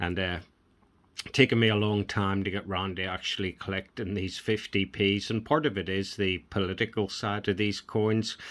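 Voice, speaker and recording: In a Northern Irish accent, a man speaks at a moderate pace with fairly low pitch. His intonation is fairly even. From Northern Ireland. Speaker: coin collector YouTuber. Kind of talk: casual video vlog, showing coins. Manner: relaxed, conversational.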